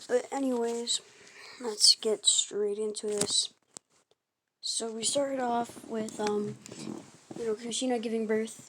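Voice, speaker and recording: A woman talks at a fairly slow pace in a monotone, flat intonation. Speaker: YouTuber telling fan-fiction anime stories. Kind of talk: casual storytelling monologue. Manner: halting, many fillers and self-corrections.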